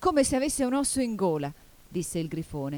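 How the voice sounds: Natural voice reading aloud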